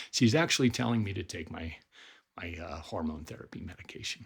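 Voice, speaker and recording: Somewhat breathy and very deep, a man with an American accent speaks at a moderate pace with lively intonation. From Colorado, US. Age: 50s. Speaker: life coach. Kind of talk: personal video appeal.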